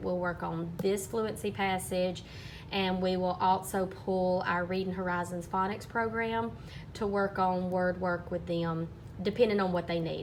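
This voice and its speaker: A woman with an Alabama accent speaks in a medium pitch at a moderate pace, her intonation monotone and flat, with audible room echo. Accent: US Southern (Alabama). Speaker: third grade teacher. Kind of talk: teaching vlog.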